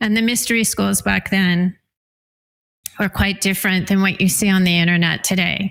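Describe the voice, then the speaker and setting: A woman at a moderate pace in a flat monotone, on a very clean recording with a silent background. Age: 60s. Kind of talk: interview testimony. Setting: radio interview.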